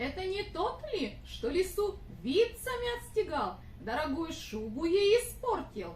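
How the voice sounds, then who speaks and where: An extremely high-pitched, cartoonish character voice comes through over clear background noise. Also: moderate pace. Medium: puppet.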